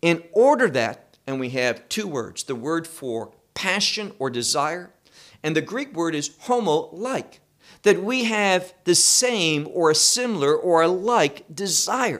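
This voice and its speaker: A man speaks at a fairly slow pace in a high pitch with very wide pitch swings. The recording is very clean, with a silent background. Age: 50s. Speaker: Bible teacher. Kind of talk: sermon.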